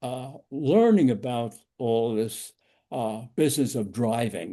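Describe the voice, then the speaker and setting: Against a quiet background, a man with a New York accent speaks very slowly at a medium pitch with ordinary pitch variation. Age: 90s. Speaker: driving safety instructor. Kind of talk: lecture. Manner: halting.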